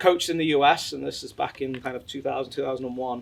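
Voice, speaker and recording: A man with an English accent talks at a fairly high pitch. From England. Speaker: sports company executive. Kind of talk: interview.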